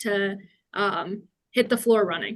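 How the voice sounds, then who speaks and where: Her intonation monotone and flat, a woman speaks. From Cuba, immigrated to US at five. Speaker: engineering manager, panelist. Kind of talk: panel discussion.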